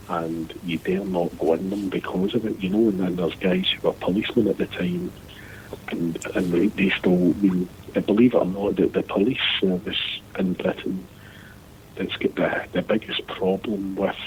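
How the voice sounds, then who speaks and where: In a Scottish accent, a man speaks at a moderate pace with a very deep, low pitch and monotone, flat intonation. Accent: Scottish, Lanarkshire. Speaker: former seafarer. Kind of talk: casual chat.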